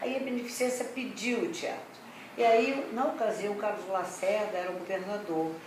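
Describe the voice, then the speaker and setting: Ordinary pitch variation and a moderate pace, with noticeable background noise and audible room echo. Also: woman, fairly high pitch for a woman. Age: 80s+. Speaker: retired revue theatre showgirl. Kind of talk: interview, reminiscing.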